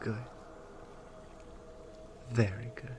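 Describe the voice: A woman does a put-on character voice at an extremely low pitch and a very slow pace, with fairly even intonation and a slightly mellow tone. Faint background noise is audible.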